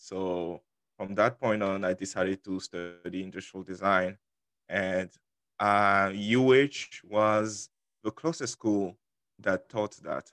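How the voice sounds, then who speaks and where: A man with a French accent speaks fairly slowly at a fairly low pitch, the sound dry and close with no echo and the background quiet. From Ivory Coast. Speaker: university student. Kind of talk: casual interview.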